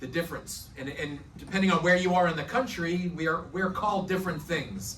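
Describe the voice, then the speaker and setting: A man with a slight New York accent, high pitch and ordinary pitch variation, at a fairly quick pace with hardly any pauses, amid audible room echo and noticeable background noise. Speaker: prosecutor. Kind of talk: presentation talk.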